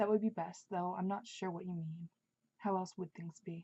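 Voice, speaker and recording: A soft-spoken woman talks at a moderate pace with a fairly low pitch, a dark, mellow tone and a somewhat breathy quality. Her intonation is monotone and flat, and the sound is dry and close with no echo. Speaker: author. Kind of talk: audiobook-style reading of own novel.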